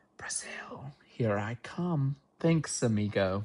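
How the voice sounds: Using a put-on character voice, a man talks very slowly at a medium pitch.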